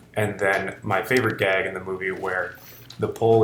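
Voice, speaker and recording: A man's fairly low voice at a moderate pace, fairly even in intonation, over noticeable background noise. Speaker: film director. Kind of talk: behind-the-scenes commentary. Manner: casual.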